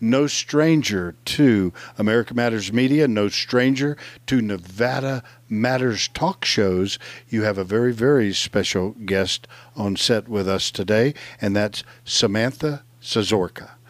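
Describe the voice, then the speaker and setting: A man at medium pitch, fairly slow and with ordinary pitch variation, on a very clean recording with a silent background. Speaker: radio co-host. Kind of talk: radio talk show banter. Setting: live radio show at a mall. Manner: animated, enthusiastic.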